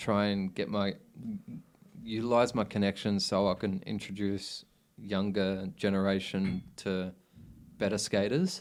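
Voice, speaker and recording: Soft-spoken and fairly low in pitch, a man talks at a fairly slow pace in a monotone, flat intonation with very even loudness and long, frequent pauses, on a very clean recording with a silent background. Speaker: former inline skater / rollerblader, podcast guest. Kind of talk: podcast interview answer.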